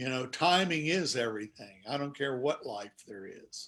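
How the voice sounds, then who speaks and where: With an American accent, a man speaks in a bright, sharp tone at a fairly high pitch, his intonation lively. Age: 60s. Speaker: author and sportswriter. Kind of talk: interview on a video chat show. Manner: reflective.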